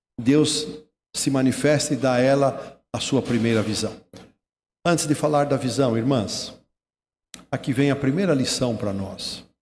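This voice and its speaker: A man speaks at a medium pitch with ordinary pitch variation and audible room echo. His pace is fairly slow, with long, frequent pauses. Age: 60s. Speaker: retired pastor. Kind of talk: sermon.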